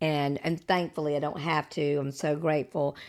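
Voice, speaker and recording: At a moderate pace, a woman speaks with a very deep, low pitch in a very clean recording with a silent background. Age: 60s. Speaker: podcast host. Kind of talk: casual chat.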